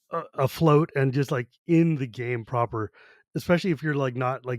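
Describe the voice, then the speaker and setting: A man speaks at a fairly quick pace with medium pitch and ordinary pitch variation. The recording is very clean with a silent background, and the sound is dry and close with no echo. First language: Gujarati. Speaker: podcast host. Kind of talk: casual chat.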